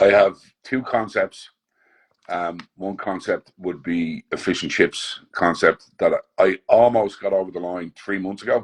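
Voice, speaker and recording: Recorded with a dry, close sound and no echo, the speaker has an Irish accent and a fairly slow pace. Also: man. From Ireland. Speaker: chef. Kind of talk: interview. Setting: video call.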